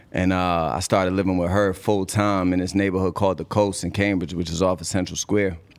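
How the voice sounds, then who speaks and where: A man with an American accent and a very deep, low pitch talks at a fairly quick pace with hardly any pauses. The recording is very clean, with a silent background. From Boston. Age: 30s. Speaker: rapper. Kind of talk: casual interview. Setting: studio. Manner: animated.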